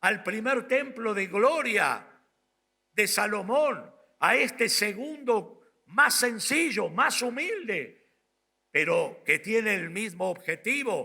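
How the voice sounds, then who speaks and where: Using a raised, projected voice with a bright, sharp tone, a man with a high pitch speaks at a very slow pace with lively intonation. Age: 60s. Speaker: pastor. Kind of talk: sermon.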